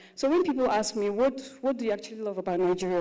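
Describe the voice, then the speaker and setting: The voice shows ordinary pitch variation, and audible room echo is present. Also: woman. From Russia. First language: Russian. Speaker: content creator and actress. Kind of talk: panel talk at live conference.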